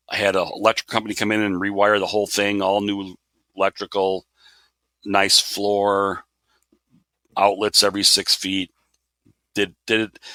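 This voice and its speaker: A man talks at a moderate pace with a fairly low pitch and a bright, sharp tone. He leaves long, frequent pauses. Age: 60s. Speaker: model railroader. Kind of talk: casual interview. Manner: halting with repeated words.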